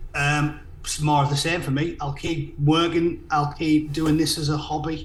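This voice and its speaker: In a Teesside accent, a man with a fairly high pitch speaks in a flat monotone, with audible room echo. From northern England, Middlesbrough. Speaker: political commentator and content creator. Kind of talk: casual chat.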